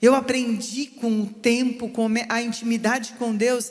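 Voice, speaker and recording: A woman talks at a moderate pace with fairly even intonation. The room echo is audible, and there is noticeable background noise. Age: 60s. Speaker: pastor. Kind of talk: sermon.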